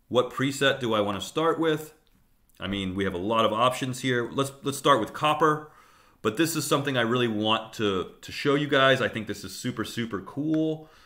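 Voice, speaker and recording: At a moderate pace, a man with a medium pitch and a bright, sharp tone speaks with ordinary pitch variation, and audible room echo can be heard. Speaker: teacher. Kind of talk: lecture. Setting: live stream.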